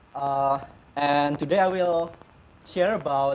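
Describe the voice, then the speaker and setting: The man has a non-native accent and a fairly high pitch. His intonation stays fairly even. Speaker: software developer. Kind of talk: tech conference talk. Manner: halting, stuttering.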